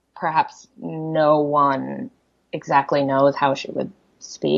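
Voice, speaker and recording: A woman is speaking. She has a Korean accent. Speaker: poet. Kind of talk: interview conversation. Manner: halting, many fillers.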